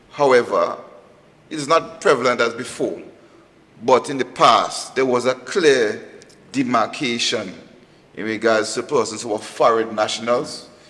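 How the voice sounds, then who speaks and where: Over noticeable background noise, a man at medium pitch talks at a fairly slow pace with ordinary pitch variation and long, frequent pauses. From Grenada. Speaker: police officer. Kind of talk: panel discussion.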